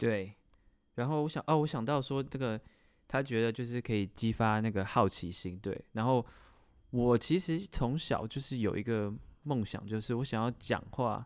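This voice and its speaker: The speaker has a plain, everyday voice with ordinary pitch variation at a moderate pace. The recording is very clean, with a silent background. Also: man, medium pitch for a man. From Taiwan. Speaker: podcast co-host. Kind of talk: casual chat.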